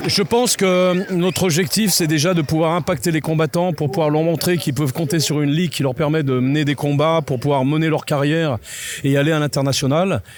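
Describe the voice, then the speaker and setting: A man's fairly high voice at a fairly quick pace, very even in loudness, with noticeable background noise. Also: ordinary pitch variation. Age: 60s. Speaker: MMA event organizer. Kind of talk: interview. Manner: hesitant, many fillers.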